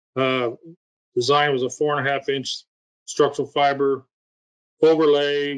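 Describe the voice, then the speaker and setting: In a flat, monotone delivery, a man with a fairly high pitch speaks with an American accent. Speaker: state highway engineer. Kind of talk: webinar presentation. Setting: video call.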